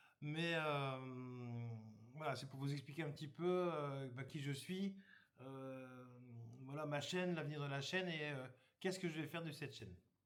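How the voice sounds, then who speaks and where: A man speaks at a fairly slow pace and a fairly high pitch, with ordinary pitch variation. Long, frequent pauses break up his speech, and audible room echo surrounds it. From northern France, Somme (Hauts-de-France). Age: 50s. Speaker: YouTuber, campsite worker. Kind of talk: casual channel introduction. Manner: hesitant, many fillers.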